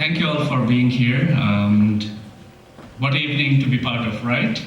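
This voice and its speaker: A man at medium pitch with ordinary pitch variation, fairly slow, with audible room echo and noticeable background noise. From Bangladesh. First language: Bengali. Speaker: poet and professor. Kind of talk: poetry reading introduction.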